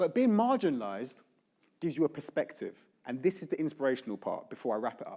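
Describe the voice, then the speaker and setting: A man with a London accent speaks very fast in a dark, mellow tone with vocal fry. His pitch is fairly high and swings very widely. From South London (Brixton). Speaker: author and educator. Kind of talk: keynote speech. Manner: animated.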